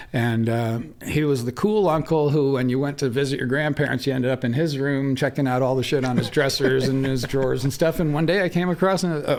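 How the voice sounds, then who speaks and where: Fairly quick, nearly pause-free speech in an American accent, very even in loudness, with ordinary pitch variation over noticeable background noise. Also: man, fairly high pitch for a man. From upstate New York. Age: 60s. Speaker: cannabis breeder. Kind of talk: casual interview.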